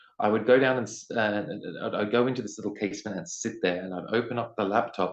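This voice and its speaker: A man with an Australian accent talks fairly quickly at medium pitch, his pitch varying in an ordinary way. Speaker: poet, singer-songwriter and teacher. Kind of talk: interview answer.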